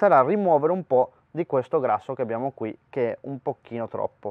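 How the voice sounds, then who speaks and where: With a normal speaking voice, a man talks at a fairly quick pace using lively intonation. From Argentina. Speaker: barbecue cooking youtuber. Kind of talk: cooking tutorial.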